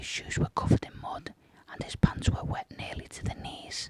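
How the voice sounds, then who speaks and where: A man whispers in a dry, close sound with no echo. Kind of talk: whispered true crime narration. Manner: whispered, soft.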